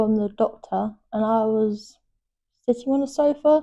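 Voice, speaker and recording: With a London accent, a woman talks at a fairly slow pace in a dark, mellow tone, her pitch fairly high and ordinary in variation. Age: 20s. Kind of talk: interview testimony. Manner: halting, repetitive phrasing.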